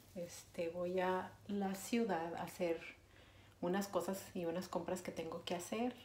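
A woman speaks at a fairly slow pace with fairly low pitch and fairly even intonation. Audible room echo and light background noise are present. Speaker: vlogger. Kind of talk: casual vlog talk to camera. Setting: bathroom at home. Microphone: phone near.

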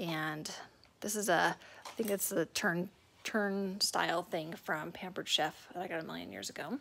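With vocal fry, a woman speaks in a fairly low, bright and sharp voice at a moderate pace with ordinary pitch variation over light background noise. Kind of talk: casual vlog tour. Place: home room. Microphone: phone near.

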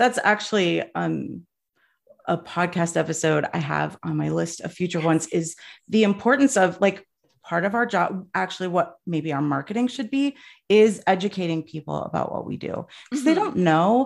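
A woman with vocal fry, a fairly low pitch, lively intonation and a moderate pace in a very clean recording with a silent background. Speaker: travel advisor and industry coach. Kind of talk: casual interview conversation. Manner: passionate, opinionated.

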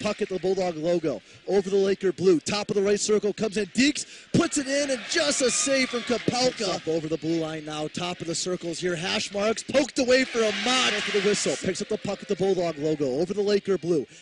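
A man with a high pitch talks at a very fast pace, with hardly any pauses and lively intonation. The sound is dry with no echo, and background noise is noticeable. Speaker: hockey play-by-play announcer. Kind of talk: live commentary. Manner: fast, rapid-fire, excitable; clipped play-by-play delivery with rising energy at goals.

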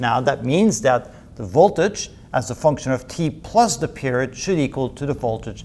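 A man talks at a moderate pace with a medium pitch and lively intonation. His tone is slightly mellow.

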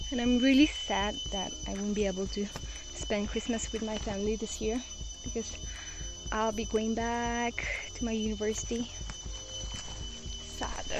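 A woman at a moderate pace, with long, frequent pauses, dry sound with no echo and clear background music. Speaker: vlogger. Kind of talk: casual vlog chat. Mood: wistful, nostalgic. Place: forest. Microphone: phone near.

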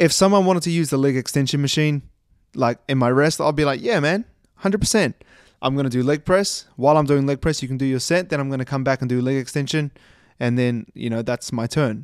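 Over a quiet background, a man talks at a very fast pace with ordinary pitch variation and a dry sound with no echo. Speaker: fitness coach. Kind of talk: casual podcast commentary. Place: home room. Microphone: studio mic.

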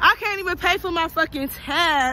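A woman speaks in a raised, projected voice at a fairly slow pace with ordinary pitch variation. The sound is dry with no echo, and there is light background noise. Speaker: vlogger. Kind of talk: casual vlog chat. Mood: frustrated, then amused. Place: street. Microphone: phone near.

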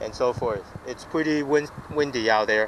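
A man at a moderate pace with fairly even intonation, a dry sound with no echo and noticeable background noise. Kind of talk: casual vlog chat. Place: waterside. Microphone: phone near.

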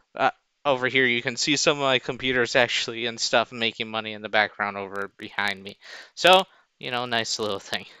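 Over a quiet background, a man speaks at a fairly quick pace with ordinary pitch variation and big swings in loudness, in a dry sound with no echo. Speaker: app tutorial maker. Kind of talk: tutorial. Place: home room.

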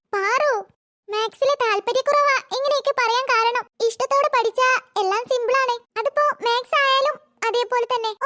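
In a squeaky, cartoonish character voice at an extremely high pitch, a woman speaks at a moderate pace with fairly even intonation and very even loudness. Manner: soft, patient, encouraging.

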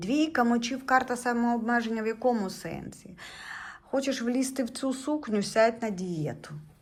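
A woman talks at a fairly slow pace. Her fairly high voice has lively intonation. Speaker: tarot reader and video blogger. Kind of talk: tarot reading tutorial monologue. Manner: conversational, jumps between thoughts.

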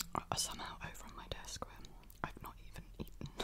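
A soft-spoken woman is whispering. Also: fairly quick pace. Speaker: vlogger. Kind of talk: casual vlog chat. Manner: soft close-mic ASMR whisper. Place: home room. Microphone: studio mic.

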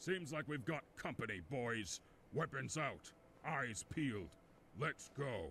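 Over clear background noise, a man uses a guttural, put-on character voice at a medium pitch and a fairly slow pace. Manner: commanding, gruff.

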